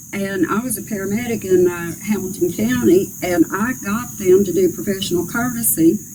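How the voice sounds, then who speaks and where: With noticeable background noise, a woman in a north Georgia accent talks at a medium pitch and a moderate pace. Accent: Southern US (north Georgia). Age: 60s. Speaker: political candidate. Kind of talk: interview.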